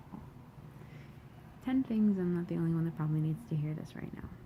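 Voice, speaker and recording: A woman's fairly low-pitched voice with lively intonation. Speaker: poet. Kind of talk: casual talk to camera.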